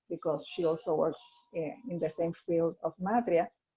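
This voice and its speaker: This woman's voice has a medium pitch. She talks in a Spanish accent. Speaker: NGO leader. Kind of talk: webinar presentation. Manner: halting.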